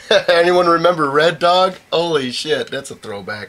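There is noticeable background noise behind this man. He speaks at a high pitch. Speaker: homebrew show host. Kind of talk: casual chat. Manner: animated.

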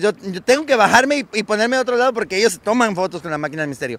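At a very fast pace, a man talks in a high pitch with a dry sound and no echo. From Mexico, Tabasco. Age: 30s. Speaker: clown performer; interviewee. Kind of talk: casual interview. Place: street. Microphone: handheld.

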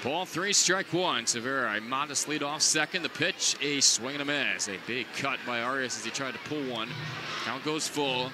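Noticeable background noise sits behind a man speaking at a moderate pace. His voice is fairly high in pitch, with ordinary pitch variation. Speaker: baseball radio broadcaster. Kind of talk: live baseball play-by-play commentary. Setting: ballpark press box, live broadcast.

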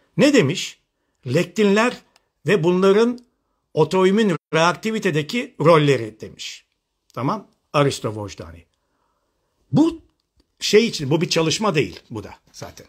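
Against a quiet background, a man with a high pitch and an animated tone speaks at a fairly slow pace with long, frequent pauses, very wide pitch swings and big swings in loudness. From western Turkey, Manisa Alaşehir; western Turkey. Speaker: functional medicine doctor; presenter. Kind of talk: live online seminar. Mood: critical, arguing. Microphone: phone near.

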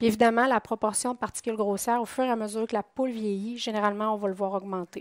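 In a very clean recording with a silent background and a dry, close sound with no echo, a woman with a fairly high pitch speaks very fast in a monotone, flat intonation with hardly any pauses. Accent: Quebec. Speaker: poultry nutritionist. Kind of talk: conference talk. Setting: conference room with audience.

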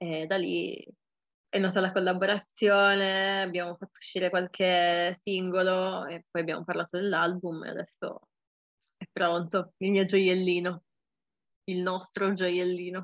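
A woman's flat, monotone voice at a fairly slow pace, with long, frequent pauses, dry and echo-free over a quiet background. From Turin, Italy. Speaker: rapper. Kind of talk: interview. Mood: relaxed, cheerful. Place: home room. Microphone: webcam.

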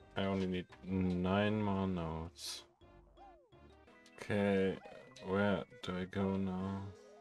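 A man with a very deep, low pitch speaks at a very slow pace in a monotone, flat intonation. Long, frequent pauses come often, and music plays in the background. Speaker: gaming channel host. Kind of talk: casual gameplay commentary.

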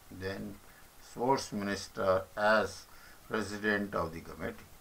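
In an Indian accent, a man speaks at a fairly low pitch with a bright, sharp tone. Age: old. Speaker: retired commentator on politics. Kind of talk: reading aloud. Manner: halting.

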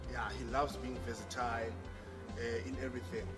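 Loud music fills the background while a man talks at a moderate pace. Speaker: interview guest. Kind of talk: interview answer. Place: home room. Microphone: camera far.

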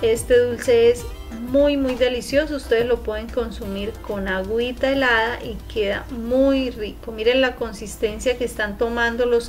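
Over faint music in the background, a woman speaks at a fairly slow pace with high pitch and fairly even intonation. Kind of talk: tutorial. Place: kitchen. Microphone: phone near.

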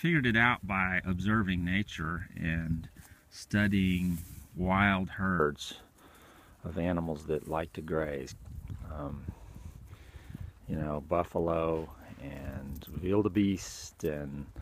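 Very slow speech from a man with a very deep, low pitch, broken by long, frequent pauses, over light background noise. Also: ordinary pitch variation, dry sound with no echo. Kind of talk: casual explanatory talk. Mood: calm, informative. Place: open country. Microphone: phone near.

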